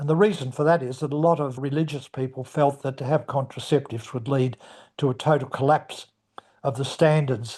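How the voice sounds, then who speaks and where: Somewhat breathy, this speaker talks at a fairly quick pace with an Australian accent against a quiet background. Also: man. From Australia, Melbourne. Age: 80s+. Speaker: retired minister. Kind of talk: interview.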